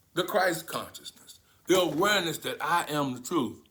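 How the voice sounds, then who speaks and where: A man speaks at a high pitch and moderate pace in a bright, sharp, animated tone. Room echo is audible. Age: 70s. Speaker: spiritual teacher. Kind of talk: sermon.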